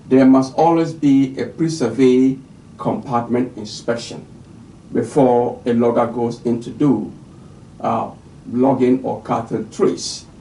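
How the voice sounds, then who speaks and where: At a moderate pace, a man speaks at a medium pitch with fairly even intonation. Room echo is audible. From Ghana. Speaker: forestry official giving a lecture. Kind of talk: recorded lecture. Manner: hesitant, with frequent fillers.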